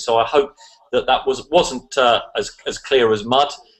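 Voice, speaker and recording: In an English accent, a man speaks with fairly even intonation. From England. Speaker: online business promoter. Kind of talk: online video hangout presentation. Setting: video call.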